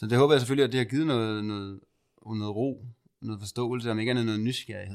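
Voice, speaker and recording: A man talks at a fairly quick pace and medium pitch in an ordinary speaking voice, with fairly even intonation and big swings in loudness, on a very clean recording with a silent background. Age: 30s. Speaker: podcast host and spiritual medium. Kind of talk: guided meditation; casual chat.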